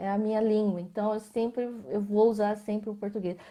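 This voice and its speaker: The recording is very clean with a silent background, carrying a dark, mellow tone. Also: woman. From Brazil, Mato Grosso. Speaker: visual artist. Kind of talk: interview in a live video stream. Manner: halting, many false starts.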